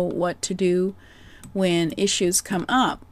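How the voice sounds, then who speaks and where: A soft-spoken woman's voice, fairly low in pitch, with a Canadian accent. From Canada. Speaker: business coach. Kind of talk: presentation.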